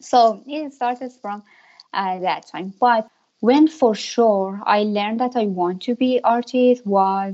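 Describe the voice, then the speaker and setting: Speaking very slowly in a Persian accent, a woman uses ordinary pitch variation. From Iran, Tehran. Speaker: painter. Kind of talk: interview. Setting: remote call.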